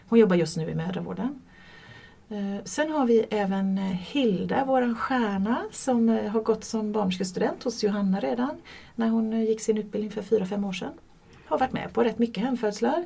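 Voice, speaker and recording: A woman speaks with a dark, mellow tone, somewhat breathy and fairly high in pitch. Her pitch varies in an ordinary way at a moderate pace. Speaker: midwife. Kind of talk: casual interview. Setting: studio, shared microphone.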